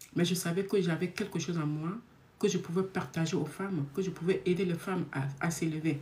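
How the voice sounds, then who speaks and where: A woman's fairly low, somewhat breathy voice with a dark, mellow tone, fairly quick pace and fairly even intonation. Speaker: love coach and speaker. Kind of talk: live stream talk. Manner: naturally fast talker.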